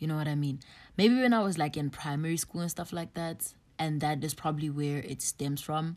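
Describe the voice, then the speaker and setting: A woman with a very deep, low pitch at a fairly quick pace, on a very clean recording with a silent background. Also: ordinary pitch variation. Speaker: podcast host. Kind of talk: solo podcast monologue. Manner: casual, filler-heavy.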